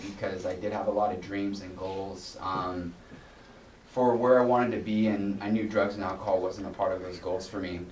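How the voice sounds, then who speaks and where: A man's fairly low voice at a moderate pace with fairly even intonation, amid noticeable background noise and audible room echo. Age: 30s. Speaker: guest speaker in addiction recovery. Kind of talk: recovery testimony talk. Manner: halting, many fillers and repetitions.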